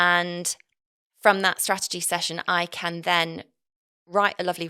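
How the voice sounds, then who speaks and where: A woman speaks with an East Midlands accent in a fairly low pitch and a bright, sharp tone. Her intonation is monotone and flat, and her pace fairly slow. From English Midlands, Nottinghamshire. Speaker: marketing and messaging consultant. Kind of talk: podcast interview.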